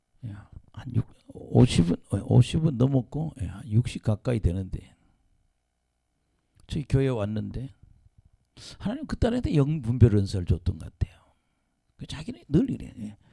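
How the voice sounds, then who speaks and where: A man's dark, mellow voice at medium pitch, with vocal fry, lively intonation, big swings in loudness, a fairly slow pace and long, frequent pauses, dry and close with no echo. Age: 70s. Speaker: pastor. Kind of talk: sermon.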